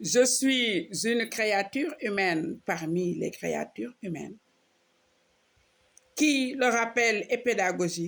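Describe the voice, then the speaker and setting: Very slow speech with vocal fry, lively intonation and long, frequent pauses, on a very clean recording with a silent background. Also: woman, fairly high pitch for a woman. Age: 60s. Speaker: social media preacher. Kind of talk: personal video monologue mixing French and Wolof.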